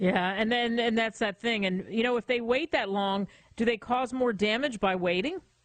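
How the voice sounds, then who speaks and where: A woman speaks at a fairly high pitch in an unremarkable speaking voice. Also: ordinary pitch variation, moderate pace, very even loudness. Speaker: radio host. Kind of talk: radio talk show hosting.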